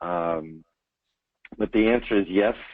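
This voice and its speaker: In a monotone, flat intonation, a man delivers his words at a fairly low pitch. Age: 60s. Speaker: cult expert and mental health professional. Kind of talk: webinar Q&A. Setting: online webinar. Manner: hesitant, many fillers.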